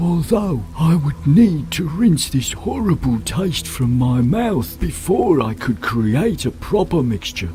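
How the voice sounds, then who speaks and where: Over clear music in the background, a man uses a put-on character voice at a fairly high pitch and a fairly slow pace. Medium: video game. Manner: slow, drawn-out, mellow.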